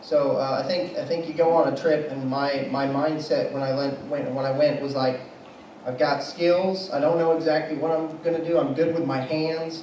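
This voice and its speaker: A man's fairly high, monotone, flat delivery at a moderate pace, amid noticeable background noise and audible room echo. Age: 20s. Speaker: missionary. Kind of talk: testimony.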